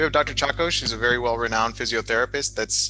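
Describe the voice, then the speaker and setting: Music in the background behind a man at a medium pitch, his pitch variation ordinary. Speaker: talk show host, doctor. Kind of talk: live-streamed interview. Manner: fast.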